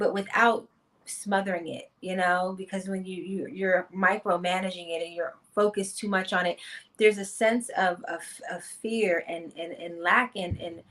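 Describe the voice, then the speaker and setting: A woman speaks with fairly even intonation at a moderate pace. It is a plain, everyday voice. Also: medium pitch for a woman, big swings in loudness. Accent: American. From Washington, D.C. (Uptown). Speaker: vegan chef. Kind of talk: interview.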